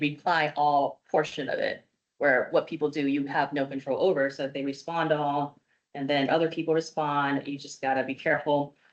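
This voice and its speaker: A woman's very deep, low voice holds a monotone, flat intonation. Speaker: legal advisor presenting on open meeting law. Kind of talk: presentation to committee. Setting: public committee meeting. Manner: fast.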